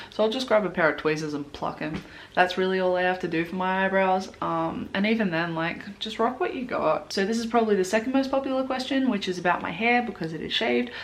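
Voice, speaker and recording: A woman's very fast, lively speech with an Australian accent and hardly any pauses. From Australia, Blue Mountains, New South Wales. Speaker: beauty vlogger. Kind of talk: casual chat. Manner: animated.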